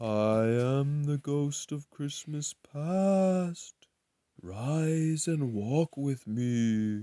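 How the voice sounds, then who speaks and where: A put-on character voice, very slow and low-to-middle in pitch, on a very clean recording with a silent background. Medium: read story. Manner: calm, gentle.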